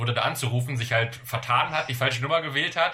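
Over noticeable background noise, a man with a medium pitch talks at a very fast pace with ordinary pitch variation. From Germany, various places. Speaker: podcast co-host. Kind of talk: casual chat. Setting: remote call.

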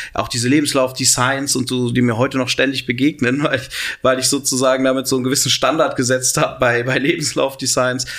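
This man speaks at a fairly quick pace. His intonation is monotone and flat. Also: medium pitch for a man, very even loudness. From Cologne, western Germany. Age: 30s. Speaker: entrepreneur and university chancellor. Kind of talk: interview.

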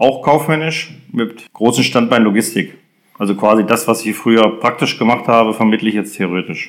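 A man speaks at a moderate pace in a plain, everyday voice. His pitch is medium with ordinary pitch variation. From Germany, moved around (Hesse, Lower Saxony). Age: 50s. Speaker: sports club chairman. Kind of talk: interview.

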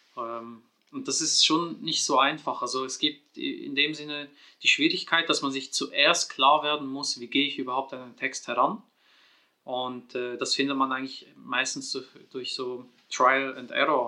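With a bright, sharp tone and a fairly high pitch, a man speaks at a fairly slow pace, with fairly even intonation and big swings in loudness. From Switzerland. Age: 30s. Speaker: Quran researcher and author. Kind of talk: casual interview on Quran interpretation.

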